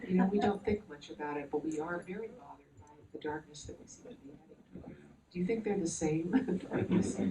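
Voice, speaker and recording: The speech runs at a very fast pace with ordinary pitch variation and big swings in loudness. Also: woman, fairly low pitch for a woman. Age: 70s. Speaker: author. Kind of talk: panel discussion.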